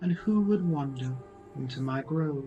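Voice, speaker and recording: A put-on character voice moves at a moderate pace with clear music in the background. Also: man. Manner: ominous, questioning.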